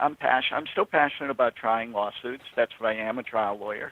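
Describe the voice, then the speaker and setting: Speaking at a fairly quick pace, a man has a medium pitch. His pitch variation is ordinary. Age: 60s. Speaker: trial lawyer and author. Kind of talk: casual chat. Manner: halting.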